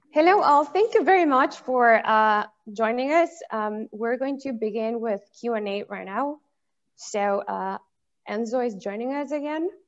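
Lively intonation comes with delivery at a fairly slow pace. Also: woman, fairly high pitch for a woman. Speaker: event moderator. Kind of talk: Q&A moderation. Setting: video call. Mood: polite, friendly. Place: home room. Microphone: video call.

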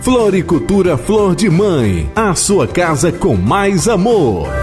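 A man's high-pitched voice, very slow and lively in intonation, with music in the background. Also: very even loudness. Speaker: announcer / voice-over locutor. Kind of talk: local radio-style commercial read for a flower shop.

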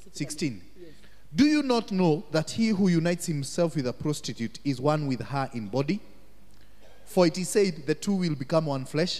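His intonation rises and falls in a lively way. The man keeps a moderate pace. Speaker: minister. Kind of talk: teaching / Bible study talk. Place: church. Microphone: handheld.

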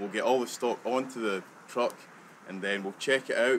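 A fairly quick man with a west central Scottish accent and fairly even intonation, over light background noise. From Scotland. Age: young. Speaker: delivery driver. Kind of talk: personal account of daily routine. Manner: halting. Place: open country.

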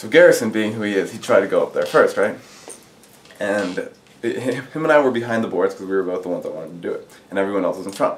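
A man talks at a very fast pace, his loudness swinging widely. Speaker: interviewee. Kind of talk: interview answer. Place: classroom.

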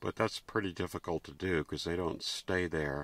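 A man speaks with monotone, flat intonation. The sound is dry, with no echo. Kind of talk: casual vlog chat. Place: tent.

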